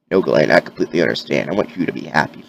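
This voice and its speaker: Here a man puts on a raspy character voice. He rattles through his lines at a very fast pace. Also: very deep, low pitch for a man, lively intonation. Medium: read story. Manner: firm, organized.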